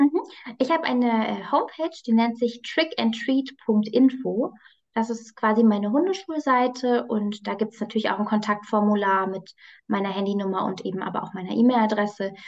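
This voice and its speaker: Her voice is an ordinary speaking voice, fairly high in pitch for a woman, with ordinary pitch variation at a moderate pace. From Hesse, Germany (near Frankfurt am Main). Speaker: psychologist and dog trainer. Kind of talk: casual interview. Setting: video call.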